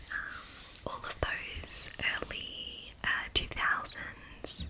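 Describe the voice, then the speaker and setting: A woman whispers against noticeable background noise. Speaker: ASMR creator; marketing associate. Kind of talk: whispered Q&A to camera. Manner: whispered.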